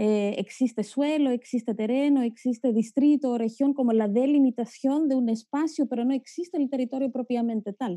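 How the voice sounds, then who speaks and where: A speaker with a Greek accent talks at a moderate pace, with ordinary pitch variation and a dark, mellow tone. The sound is dry and close with no echo, and there are hardly any pauses. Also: woman, high pitch for a woman. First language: Greek (speaking Spanish). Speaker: geographer, academic. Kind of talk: panel discussion talk. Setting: video call. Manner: halting.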